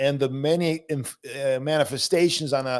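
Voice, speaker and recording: On a very clean recording with a silent background, a man speaks at a fairly high pitch. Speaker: Orthodox priest and theologian. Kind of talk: casual discussion. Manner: fast.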